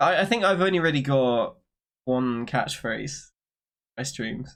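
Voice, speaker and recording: Speaking with a British accent, a man talks at a fairly slow pace. His fairly high voice has lively intonation. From Britain. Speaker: gaming streamer. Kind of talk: casual chat. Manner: loud.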